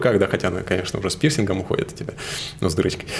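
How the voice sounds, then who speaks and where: Amid noticeable background noise, a man speaks in a very deep, low voice. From Siberia, Novosibirsk region (Suzun). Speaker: marketing agency director. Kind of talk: interview.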